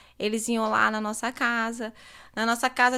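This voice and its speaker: On a very clean recording with a silent background, a woman with a bright, sharp tone speaks at a fairly slow pace. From Northeast Brazil, Recife, Pernambuco. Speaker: psychology student and charity founder. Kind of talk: podcast interview.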